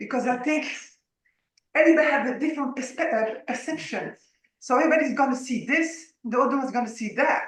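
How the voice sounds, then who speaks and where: Speech comes very fast in a slight French accent with fairly even intonation. Audible room echo surrounds it. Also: woman, high pitch for a woman. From France. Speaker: audience member asking questions. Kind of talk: Q and A on video call. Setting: video call.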